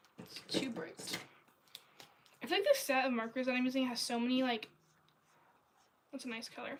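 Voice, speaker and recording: Her high-pitched voice moves at a moderate pace, with ordinary pitch variation and long, frequent pauses. Loudness swings widely, and background noise is noticeable. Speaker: artist livestreamer. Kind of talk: casual livestream chat while drawing. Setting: livestream. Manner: casual, many fillers.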